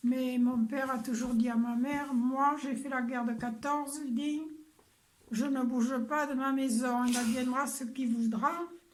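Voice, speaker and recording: A woman's calm, high-pitched voice with monotone, flat intonation. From Bordeaux, France. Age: 80s+. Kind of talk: interview answer.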